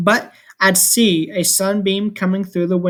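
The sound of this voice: Reading in an unforced voice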